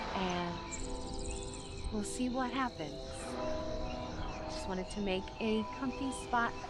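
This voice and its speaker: Music plays in the background as a woman speaks. She talks very slowly with hardly any pauses. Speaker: vtuber, cozy gaming streamer. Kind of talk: relaxing gameplay commentary for sleep or unwinding. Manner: soft-spoken, relaxed, chatty.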